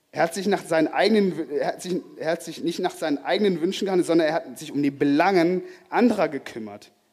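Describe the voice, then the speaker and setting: Pitch varies in an ordinary way as the speech races along at a very fast pace. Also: man, high pitch for a man. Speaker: preacher. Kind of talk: sermon. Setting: church with congregation. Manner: earnest, warm, teaching tone with pauses and repetition for emphasis; halting, self-correcting, lively and conversational.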